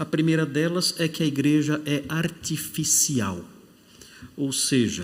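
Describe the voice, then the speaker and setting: There is audible room echo as a man speaks at a fairly slow pace in a fairly high pitch. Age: 60s. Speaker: pastor. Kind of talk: sermon; casual self-introduction. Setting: church.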